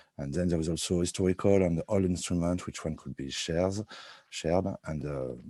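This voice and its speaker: A man with a French accent, a dark, mellow tone, a fairly even intonation and a moderate pace, in a dry, close sound with no echo. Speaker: researcher presenting study results. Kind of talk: online presentation. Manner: halting.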